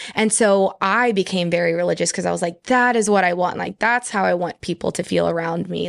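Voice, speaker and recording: Here a woman with an American accent has an unremarkable speaking voice and a fairly low pitch. She speaks at a moderate pace on a very clean recording with a silent background. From Texas, Houston. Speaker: podcast guest. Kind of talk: casual chat.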